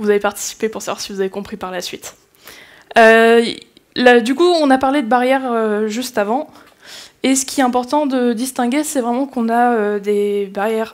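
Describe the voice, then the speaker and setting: A woman speaks with a fairly high pitch at a moderate pace. Her intonation is fairly even. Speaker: conference speaker on game accessibility. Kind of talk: conference talk. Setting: stage with audience. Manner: hesitant, many fillers.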